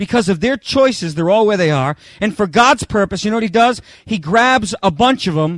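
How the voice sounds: The clip features a natural reading voice.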